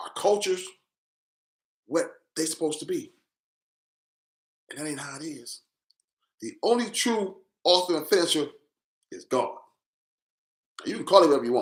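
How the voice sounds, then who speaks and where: This man has a high pitch and lively intonation, with big swings in loudness. He goes at a moderate pace with long, frequent pauses. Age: 60s. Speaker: social commentator. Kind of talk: live stream monologue. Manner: animated.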